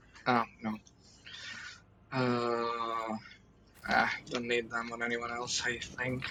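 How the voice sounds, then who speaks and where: Noticeable background noise sits under a man speaking at medium pitch with monotone, flat intonation. His pace is very slow, with long, frequent pauses. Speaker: gaming streamer. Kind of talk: live gameplay commentary. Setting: live stream. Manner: halting, many fillers.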